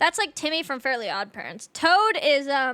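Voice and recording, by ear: A woman speaks at a high pitch with a bright, sharp tone. Her pitch swings widely at a moderate pace.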